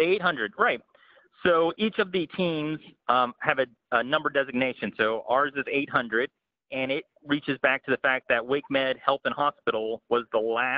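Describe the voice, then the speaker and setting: A man with a fairly high pitch and a normal speaking voice. His loudness stays very even, with ordinary pitch variation at a moderate pace. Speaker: emergency preparedness coordinator. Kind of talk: training presentation. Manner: frequent fillers, um and uh.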